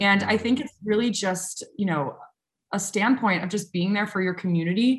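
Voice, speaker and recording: At a moderate pace, a woman speaks with a medium pitch and a somewhat breathy quality. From US South, New Orleans, Louisiana. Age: 20s. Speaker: social media consultant and content creator. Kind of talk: interview. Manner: animated.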